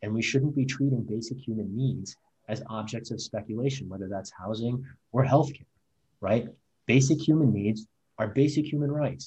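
A man with an American accent speaks in a dark, mellow, somewhat breathy tone with ordinary pitch variation. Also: medium pitch for a man, moderate pace. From rural Missouri. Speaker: civil rights lawyer and political candidate. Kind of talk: interview.

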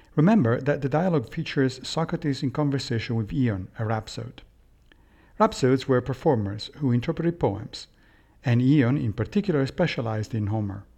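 Over a quiet background, a man with a dark, mellow, somewhat breathy tone talks at a medium pitch and a fairly quick pace with lively intonation. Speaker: podcast host and philosophy lecturer. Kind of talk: scripted reading of a Plato dialogue, then lecture-style commentary. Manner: measured, formal, didactic.

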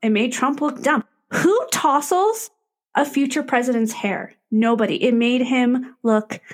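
A woman talks at a fairly slow pace in a high voice. Her pitch varies in an ordinary way, and her loudness stays very even. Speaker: podcast co-host. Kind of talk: casual chat between friends.

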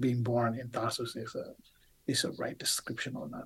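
The voice is somewhat breathy, with an Indonesian accent. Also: man. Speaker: biblical scholar, professor. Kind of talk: interview. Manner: halting.

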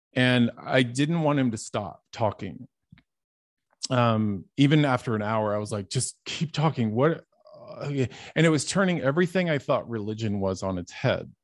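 Against a quiet background, a man with an American accent talks in an unremarkable speaking voice at medium pitch. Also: lively intonation, moderate pace. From Dallas, Texas. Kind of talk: testimony.

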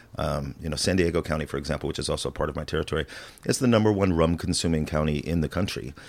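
Very fast speech comes from a man with an American accent and a very deep, low voice with vocal fry. His pitch varies in an ordinary way. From US Midwest, rural Illinois. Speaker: spirits brand market manager. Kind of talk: casual chat.

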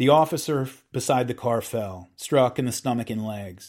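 A man with an unremarkable speaking voice talks at a medium pitch and moderate pace. The recording is very clean, with a silent background. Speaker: podcast host reading a book aloud. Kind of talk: dramatic narration of a true-crime history, reading aloud from a book.

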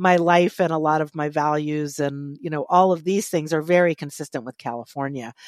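With an American accent, a woman whose voice is very deep and low speaks at a moderate pace with fairly even intonation in a very clean recording with a silent background. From Virginia, Charlottesville. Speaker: memoir writer and co-host. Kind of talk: casual chat; reading aloud.

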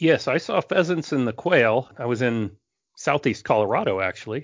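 The speaker has an unremarkable speaking voice and a moderate pace. The intonation is lively. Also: man. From Northern California. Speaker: wildlife biologist. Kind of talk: casual interview chat.

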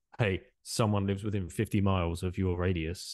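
Against a quiet background, a man with an English accent speaks at a moderate pace, his fairly low voice showing ordinary pitch variation in a dry, close sound with no echo. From England. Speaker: podcast host and former currency trader. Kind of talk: interview.

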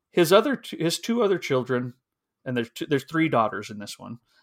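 A man talks at a very fast pace, his pitch swinging very widely. The sound is dry and close, with no echo. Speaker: book podcast co-host. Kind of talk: casual chat.

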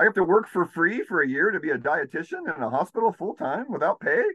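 In a dry, close sound with no echo, a man with an American accent talks at a fairly quick pace. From California. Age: 50s. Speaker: healer. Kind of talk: casual chat.

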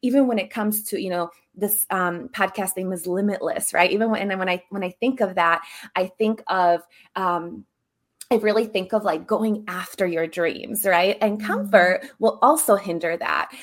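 A woman speaks at a moderate pace in an ordinary speaking voice, her pitch medium. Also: ordinary pitch variation. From Serbia, moved to US at 10. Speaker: embodiment coach. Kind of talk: interview.

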